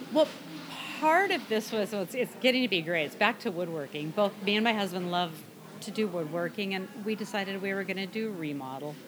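Fairly quick speech with lively intonation over noticeable background noise. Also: woman, medium pitch for a woman. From US Pacific Northwest (Burien, near Seattle). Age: 60s. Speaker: woodworker and former aircraft engineer. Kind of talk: casual interview chat.

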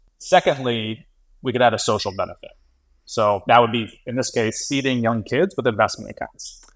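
A plain, everyday voice with an American accent at a moderate pace, in a very clean recording with a silent background. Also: man, medium pitch for a man, ordinary pitch variation. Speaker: fintech investor. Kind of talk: casual chat.

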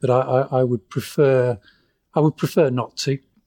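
Dry and close with no echo, on a very clean recording against a silent background, a man speaks at a medium pitch and moderate pace in a dark, mellow tone. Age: 50s. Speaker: terminally ill patient. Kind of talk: interview. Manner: halting.

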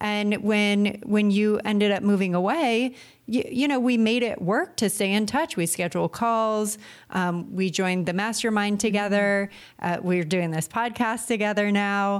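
A woman talks in a plain, everyday voice at a medium pitch with ordinary pitch variation. Her loudness stays very even and her pace is moderate. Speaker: podcast co-host. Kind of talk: casual chat. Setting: remote call.

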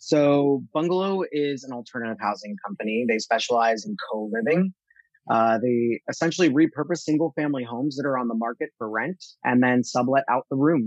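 A man with an American accent, medium pitch and ordinary pitch variation, in a dry, close sound with no echo. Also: fairly quick pace. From US Northeast, central New Jersey. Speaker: marketplace general manager. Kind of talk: interview conversation. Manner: direct, blunt.

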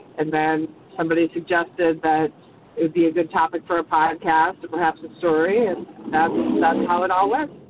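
A woman with an American accent talks at a fairly quick pace over noticeable background noise. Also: fairly low pitch for a woman, fairly even intonation. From Minnesota, rural dairy farm. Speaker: car service driver. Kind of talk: personal anecdote.

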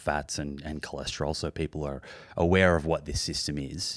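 Speaking at a moderate pace with an Australian accent, a man with a very deep, low pitch keeps his intonation fairly even. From Australia, Melbourne. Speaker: podcast host. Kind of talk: personal story; interview.

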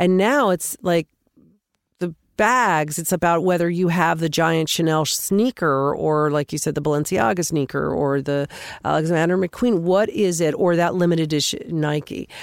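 A normal speaking voice from a woman with an American accent, fairly low in pitch, with ordinary pitch variation, very even loudness, a moderate pace and a very clean recording with a silent background. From US West. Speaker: podcast host. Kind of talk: casual interview.

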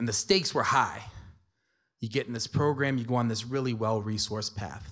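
A man speaks with an American accent at medium pitch. It is an ordinary speaking voice with ordinary pitch variation. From New York City (Spanish Harlem, South Bronx). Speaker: lecturer and storyteller. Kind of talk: storytelling performance.

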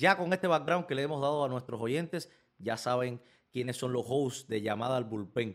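Speaking at a moderate pace in a normal speaking voice, the man has a medium pitch and ordinary pitch variation. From Cuba, Villa Clara. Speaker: baseball podcast host. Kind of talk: casual chat.

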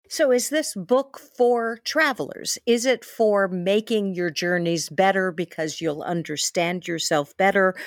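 A woman with an American accent speaks in a plain, everyday voice at a medium pitch, fairly slowly and with lively intonation. The recording is very clean with a silent background, dry and close with no echo. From New York City. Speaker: travel podcast host. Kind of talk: interview podcast.

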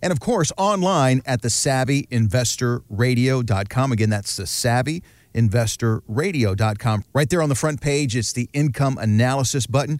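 In a very clean recording with a silent background, a man at medium pitch speaks with an ordinary speaking voice. He keeps a moderate pace with hardly any pauses and ordinary pitch variation. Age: 50s. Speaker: radio host. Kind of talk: radio show hosting.

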